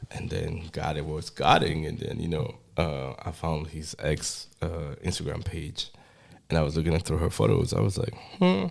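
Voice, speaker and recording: Here a man talks with a very deep, low pitch and vocal fry. His pace is moderate and his pitch variation ordinary. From Switzerland, Geneva. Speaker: photographer. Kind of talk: casual chat.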